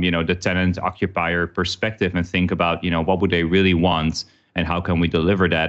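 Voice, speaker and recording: With a Dutch accent and a very deep, low pitch, a man talks at a very fast pace against a quiet background. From Netherlands. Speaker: workplace company executive. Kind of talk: casual interview. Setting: remote recording.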